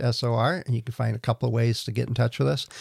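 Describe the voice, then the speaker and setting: The man's voice is somewhat breathy. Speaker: podcast host. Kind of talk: casual chat.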